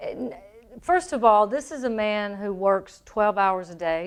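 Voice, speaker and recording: Someone speaks in a Southern accent against a quiet background. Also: woman. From Tennessee. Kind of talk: radio interview.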